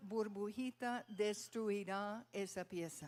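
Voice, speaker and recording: A woman talks at a very slow pace. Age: 70s. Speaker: pastor. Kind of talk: sermon.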